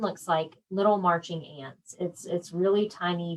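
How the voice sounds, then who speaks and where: A woman with a slight Southern US accent talks at a fairly slow pace. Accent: slight Southern twang. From South Georgia / north Florida, US South. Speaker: quilting and embroidery instructor. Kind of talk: live-stream tutorial. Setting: Facebook live stream. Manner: casual, chatty.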